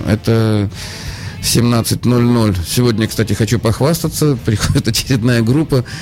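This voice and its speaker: A man at a medium pitch and fairly slow pace, with ordinary pitch variation and noticeable background noise. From Saint Petersburg, Russia. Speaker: radio host and guitar teacher. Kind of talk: casual chat.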